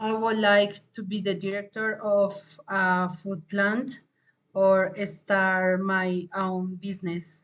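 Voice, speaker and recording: At a very slow pace, a woman speaks at a medium pitch with monotone, flat intonation. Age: 30s. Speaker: English language student. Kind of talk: class presentation, scripted Q&A. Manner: halting.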